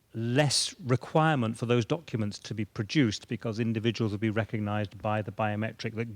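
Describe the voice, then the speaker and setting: A man with a British accent, medium pitch, fairly even intonation, and a moderate pace. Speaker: government border data official. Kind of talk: panel discussion.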